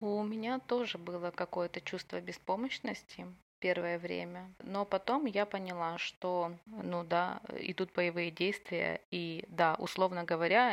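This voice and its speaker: A woman with a normal speaking voice, a medium pitch, ordinary pitch variation and a moderate pace, in a very clean recording with a silent background. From Ukraine, Odesa. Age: 20s. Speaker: war refugee telling her story. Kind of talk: personal testimony.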